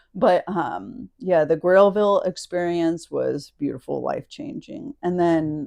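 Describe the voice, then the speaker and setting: A woman with a Southern US accent, a dark, mellow tone and fairly low pitch, at a very slow pace with lively intonation, over a quiet background. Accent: southern twang. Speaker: podcast guest. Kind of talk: casual chat.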